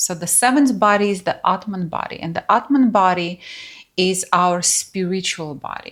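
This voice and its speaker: A woman speaks at a moderate pace with a non-native accent, her pitch medium and its variation ordinary. Her voice is somewhat breathy. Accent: foreign. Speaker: spiritual teacher. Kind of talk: workshop talk. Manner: casual, conversational.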